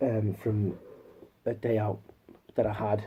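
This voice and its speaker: This man's voice sits fairly low, with a dark, mellow tone and a somewhat breathy quality. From northern England, Newcastle area. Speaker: YouTuber, movie collector. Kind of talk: casual haul video talk. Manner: halting, many repeats and fillers.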